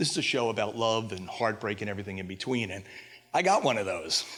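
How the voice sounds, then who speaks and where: An ordinary speaking voice moves at a fairly quick pace. Its intonation is fairly even. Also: man. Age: 60s. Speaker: storyteller. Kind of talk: storytelling performance.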